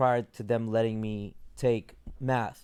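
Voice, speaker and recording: On a very clean recording with a silent background, a man speaks at a medium pitch. He has a non-native accent. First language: not English. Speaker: podcast host. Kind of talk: casual chat.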